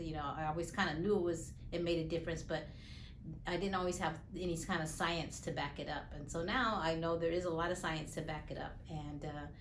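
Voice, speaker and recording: Amid noticeable background noise and audible room echo, a woman with a fairly low pitch speaks at a fairly quick pace with fairly even intonation. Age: 60s. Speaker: patient. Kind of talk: testimony. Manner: halting, many fillers.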